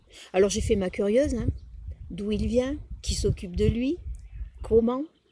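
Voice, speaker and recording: A woman's fairly high, somewhat breathy voice with a dark, mellow tone, a slight Provençal accent and a moderate pace. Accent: southern French (Provençal), slight. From Provence, Drôme provençale, France. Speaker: wine taster. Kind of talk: wine tasting commentary. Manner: hesitant, with fillers.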